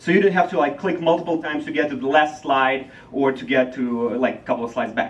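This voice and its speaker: A man with a Ukrainian accent talks at a very fast pace with hardly any pauses and a fairly high pitch with ordinary variation. His loudness swings widely, and there is noticeable background noise. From Ukraine. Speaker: startup founder. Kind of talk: product demo pitch.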